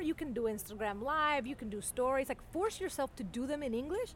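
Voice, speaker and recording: A woman with a Spanish accent speaks in an animated tone with lively intonation. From Venezuela. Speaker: journalist. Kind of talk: casual chat.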